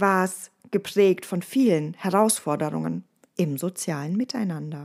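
A woman with a slight Bavarian accent speaks at a fairly slow pace in a medium pitch, her intonation lively, on a very clean recording with a silent background. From Bavaria, Ostallgäu. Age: 30s. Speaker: resilience trainer and podcast host. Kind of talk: casual podcast monologue.

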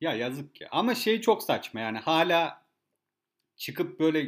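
At a fairly slow pace, a man is speaking. His pitch sits fairly high. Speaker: podcast host. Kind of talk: casual chat.

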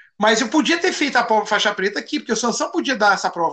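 A man's high voice is raised and projected, at a fairly quick pace. His pitch makes very wide swings. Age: 50s. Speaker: judo instructor. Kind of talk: casual interview.

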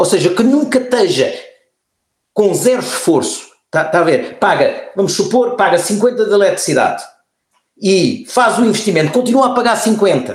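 There is audible room echo as a man speaks at an extremely high pitch and a moderate pace. His intonation is lively and his loudness very even. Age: 60s. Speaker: former politician and environmentalist. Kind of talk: interview conversation. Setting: remote call. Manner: halting, many repeated words.

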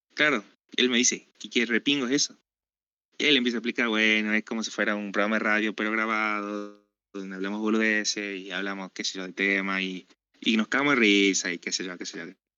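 Long, frequent pauses break up a man's fairly quick speech. His intonation stays fairly even while his loudness swings widely. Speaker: podcast co-host. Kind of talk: casual chat.

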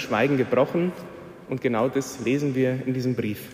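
A man's ordinary speaking voice at a moderate pace, with fairly even intonation. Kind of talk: sermon. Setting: church. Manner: earnest, teaching tone; explaining, persuasive, fervent.

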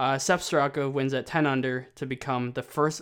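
At a fairly slow pace, a man talks with a fairly high pitch. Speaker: golf podcast co-host. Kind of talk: casual chat. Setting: office room at home. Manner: quiet, trying to speak softly.

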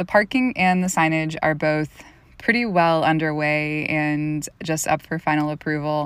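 In a very clean recording with a silent background, a woman with an American accent speaks at a very deep, low pitch, with ordinary pitch variation and a fairly slow pace. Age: 30s. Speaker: small business owner and podcast host. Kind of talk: solo podcast monologue.

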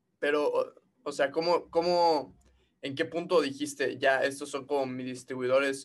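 Speaking slowly-ish in a Mexican accent, a man uses a fairly high pitch at a fairly slow pace. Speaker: podcast host. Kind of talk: casual chat.

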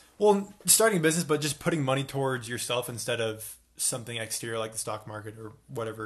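A man talks at a very fast pace with hardly any pauses, sounding somewhat breathy. His loudness swings widely, and his pitch varies in an ordinary way. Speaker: podcast co-host, college student. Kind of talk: casual chat.

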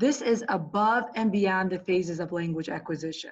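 At a fairly slow pace, a woman with a medium-pitched, somewhat breathy voice speaks with lively intonation. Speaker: English language learner supervisor. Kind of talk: interview conversation.

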